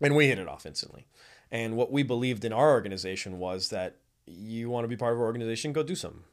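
In an American accent, a man at medium pitch speaks at a very fast pace with ordinary pitch variation. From South Florida. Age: young. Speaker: nonprofit arts organization leader. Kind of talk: casual chat. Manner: animated.

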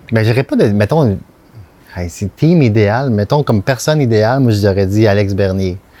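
A man with a Quebec accent speaks at a fairly low pitch and a fairly slow pace, with a dark, mellow tone and ordinary pitch variation. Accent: Québécois French. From Quebec, Montreal South Shore. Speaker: art director. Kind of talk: casual interview.

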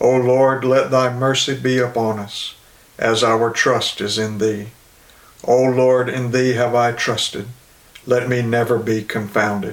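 A man's solemn, medium-pitched voice at a fairly slow pace, with monotone, flat intonation over noticeable background noise. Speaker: Anglican service leader. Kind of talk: liturgical prayer service, read aloud from prayer book. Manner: solemn, reverent, formal.

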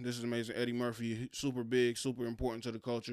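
A man speaks at a medium pitch. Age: 20s. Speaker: podcast host. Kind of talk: casual solo podcast monologue. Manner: halting, many fillers and restarts.

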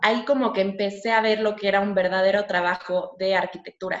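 A woman with a plain, everyday voice speaks at a medium pitch and a moderate pace, keeping her intonation fairly even. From Mexico. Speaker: architecture student. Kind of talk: interview. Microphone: connection dropped briefly.

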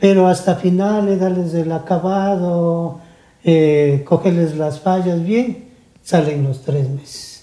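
With noticeable background noise behind him, a man speaks very slowly in a high pitch with fairly even intonation. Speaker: luthier and musician. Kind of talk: interview. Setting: studio.

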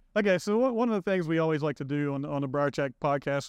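Speaking very fast with an Appalachian accent, a man uses a fairly high pitch against a quiet background. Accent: West Virginia (Appalachian) American. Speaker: podcast host, public relations director. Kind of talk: casual interview; scripted sign-off. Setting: studio.

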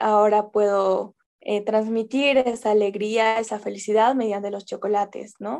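A woman speaks at a fairly slow pace with fairly even intonation. Her pitch is fairly high. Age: 20s. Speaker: small business owner, chocolate maker. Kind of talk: radio interview. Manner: halting.

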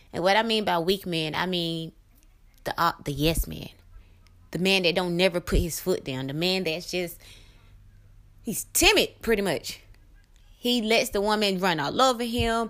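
At a moderate pace, a woman with a medium-pitched voice and ordinary pitch variation sounds animated, leaving long, frequent pauses in a very clean recording with a silent background. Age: 30s. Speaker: podcast host and small business owner. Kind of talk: casual monologue. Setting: live recording at home.

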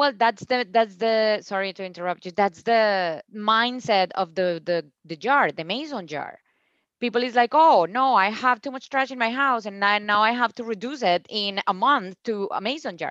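A woman with a Spanish accent speaks at a moderate pace in a fairly high pitch with ordinary pitch variation, recorded with a dry, close sound with no echo against a quiet background. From Colombia, Cúcuta. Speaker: founder of a plastic-free store. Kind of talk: casual interview. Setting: video call.

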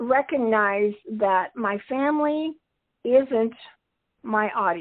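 A woman talks with very wide pitch swings. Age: 70s. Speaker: retirement coach and author. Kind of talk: interview. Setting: remote call.

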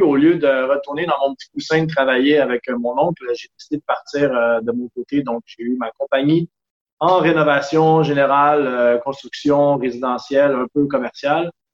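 A man talks at a moderate pace in a plain, everyday voice. His intonation stays fairly even, and the sound is dry and close with no echo. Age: 30s. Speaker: sailor and traveler. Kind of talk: casual interview.

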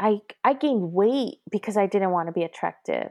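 A woman talks at a moderate pace with a medium pitch, a dark, mellow tone and ordinary pitch variation. The recording is very clean with a silent background, dry and close with no echo. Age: 30s. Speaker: abuse survivor sharing her story. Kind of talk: testimony.

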